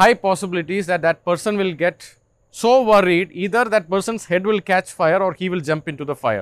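Recorded with a dry, close sound and no echo, a man speaks at a high pitch. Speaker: ayurvedic doctor. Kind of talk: lecture. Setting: evening talk to retreat guests.

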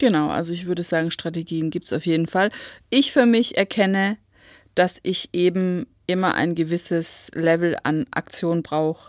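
This is an ordinary speaking voice at a moderate pace with ordinary pitch variation. The recording is very clean, with a silent background. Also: woman, fairly low pitch for a woman, dry, close sound with no echo. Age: 40s. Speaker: podcast co-host, school support worker. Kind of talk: casual chat.

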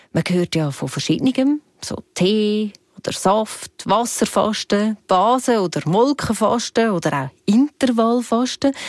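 This is a normal speaking voice with lively intonation at a fairly slow pace. The sound is dry and close, with no echo. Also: woman. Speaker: podcast host. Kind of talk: scripted narration.

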